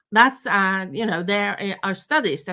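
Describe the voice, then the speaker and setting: A woman speaks with a Norwegian accent. Her voice sits at a medium pitch with ordinary pitch variation. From Norway. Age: 50s. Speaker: knitting teacher. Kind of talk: online workshop lecture. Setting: live stream. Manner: hesitant, many fillers.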